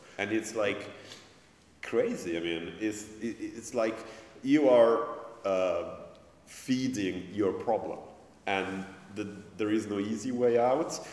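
A man at a very slow pace, with long, frequent pauses, ordinary pitch variation and audible room echo. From Italy. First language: Italian. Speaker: academic and journalist, festival organizer; journalist. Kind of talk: panel discussion. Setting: stage with audience. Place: meeting room.

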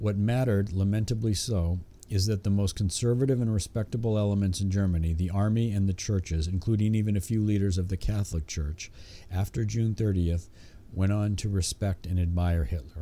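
With a dark, mellow tone and fairly low pitch, a man speaks fairly quickly at very even loudness and with ordinary pitch variation. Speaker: audiobook narrator. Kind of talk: audiobook narration of history. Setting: home recording with a cheap condenser microphone. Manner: steady, measured, formal reading pace with occasional self-corrections on stumbles. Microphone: studio mic.

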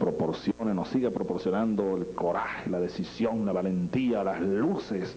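A man speaks at a fairly slow pace. There is light background noise. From Venezuela. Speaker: president of Venezuela. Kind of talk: improvised political speech. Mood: solemn, emotional, rhetorical. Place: hall. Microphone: podium.

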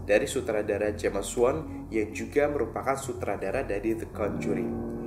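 The speech keeps a moderate tempo. Behind it, music can be heard clearly. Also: man. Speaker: video host. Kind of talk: casual presenter commentary. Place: studio.

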